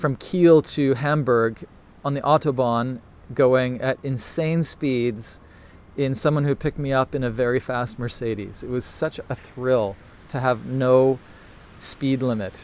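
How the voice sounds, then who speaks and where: A man with a Canadian accent speaks fairly slowly at a medium pitch, his intonation fairly even, in a plain, everyday voice. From Canada. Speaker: photography teacher. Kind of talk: live Q&A stream. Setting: Instagram live broadcast.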